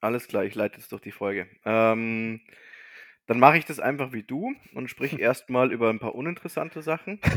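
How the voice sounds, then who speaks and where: Speaking at a moderate pace, this man has a plain, everyday voice, a medium pitch, and ordinary pitch variation. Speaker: podcast co-host. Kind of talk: casual chat.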